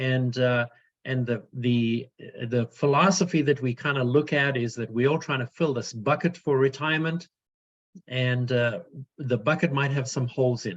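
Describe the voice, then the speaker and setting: The speaker talks at a moderate pace with a South African accent. Pitch rises and falls in an ordinary way. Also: man, medium pitch for a man. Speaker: financial advisor. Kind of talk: webinar presentation. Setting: video call webinar. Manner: hesitant, many fillers.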